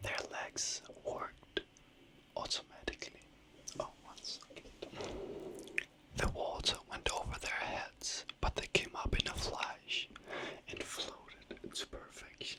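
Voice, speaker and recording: Whispering in a relaxed tone, someone goes at a very slow pace with long, frequent pauses and big swings in loudness, over noticeable background noise. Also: woman. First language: not English. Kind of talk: whispered fairy tale storytelling, sleep story. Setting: ASMR microphone recording, late night. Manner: whispered, soft, slow, relaxed.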